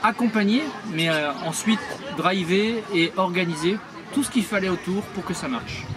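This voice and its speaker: Fairly slow speech with audible room echo and crowd noise in the background. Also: man. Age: 60s. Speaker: retired prosthetist, charity founder. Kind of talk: interview. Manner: hesitant, many fillers.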